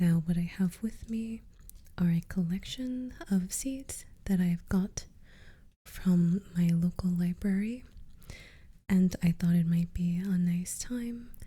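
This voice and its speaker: A soft-spoken, somewhat breathy woman with a relaxed, dark, mellow tone, medium pitch, ordinary pitch variation and a very slow pace. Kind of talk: ASMR gardening session, talking to the viewer. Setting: close-mic studio ASMR recording. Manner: soft-spoken, slow, relaxed.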